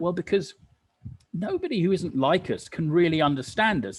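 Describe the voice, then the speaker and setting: Somewhat breathy, the man's voice moves at a moderate pace. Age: 60s. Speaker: recovering addict sharing experience. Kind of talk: testimony.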